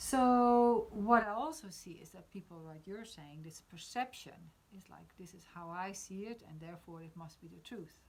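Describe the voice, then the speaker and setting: Her pace moderate, a woman speaks with ordinary pitch variation. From Netherlands. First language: Dutch. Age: 50s. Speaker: spiritual discussion host. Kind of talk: casual discussion on live stream. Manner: halting, many fillers.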